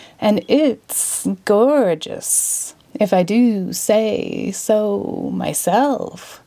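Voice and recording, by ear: The clip is reading aloud in a natural voice with lively intonation.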